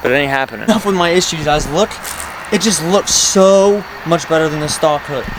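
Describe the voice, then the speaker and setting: A man's high voice at a moderate pace, with noticeable background noise. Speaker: car vlogger. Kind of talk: casual vlog talk. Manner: animated.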